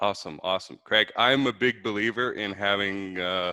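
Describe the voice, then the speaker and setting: With a Canadian accent, a man uses an ordinary speaking voice at a fairly low pitch, a fairly quick pace and fairly even intonation. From Canada, Vancouver. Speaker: podcast host. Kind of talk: interview.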